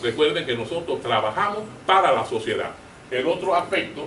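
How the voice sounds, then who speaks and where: A man with a high pitch and lively intonation is heard with audible room echo and noticeable background noise. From Cuba, Las Villas. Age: 70s. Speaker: university professor. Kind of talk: conference presentation.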